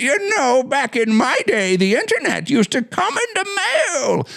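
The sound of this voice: A put-on character voice speaks in a high pitch at a moderate pace. Light background noise is present.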